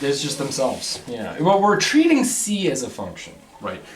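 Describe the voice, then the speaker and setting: At a moderate speed, a man talks amid noticeable background noise and audible echo from the room. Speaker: math lecturer. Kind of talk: lecture.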